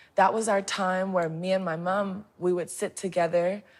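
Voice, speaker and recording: Speaking with an American accent, a woman keeps her voice at a medium pitch. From New Orleans, USA. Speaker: singer-songwriter. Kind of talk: interview answer.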